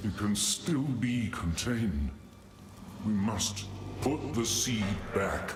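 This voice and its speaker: Putting on a character voice, a man speaks at a very slow pace and fairly low pitch, with slight echo and clear background noise. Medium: game stream. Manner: grave, solemn.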